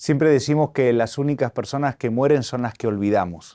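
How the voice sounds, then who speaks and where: A dark, mellow tone against a quiet background. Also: man. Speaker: archbishop hosting interview. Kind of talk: interview. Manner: formal.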